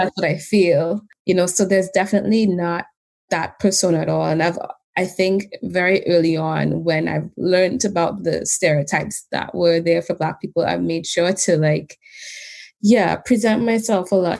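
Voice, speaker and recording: The speaker is a woman with a fairly low pitch. She keeps her intonation fairly even and her pace moderate. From Trinidad and Tobago. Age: 30s. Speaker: behaviour analyst. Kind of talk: interview testimony. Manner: level, unemotional.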